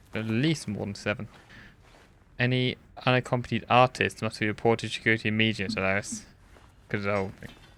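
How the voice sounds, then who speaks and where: Delivering his words at a very fast pace with long, frequent pauses, a man with a medium-pitched, bright, sharp tone keeps his intonation fairly even. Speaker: gaming video creator. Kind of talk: gameplay commentary. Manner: casual, halting.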